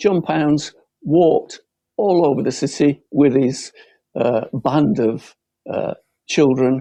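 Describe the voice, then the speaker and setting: With a Lancashire accent, a man speaks at a very slow pace with long, frequent pauses, his fairly high pitch and ordinary pitch variation carried in a dark, mellow tone over a quiet background. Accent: northern English (Lancashire). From Bolton, Lancashire, northern England. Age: 70s. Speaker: local election candidate. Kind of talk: campaign closing speech.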